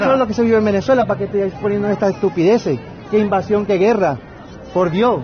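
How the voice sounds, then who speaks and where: Talking at a very fast pace over crowd noise, a man uses a high pitch with ordinary pitch variation. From Venezuela. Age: young. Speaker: citizen filming a protest. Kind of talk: heated street argument. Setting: outdoors. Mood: mocking, indignant. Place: street. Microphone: phone near.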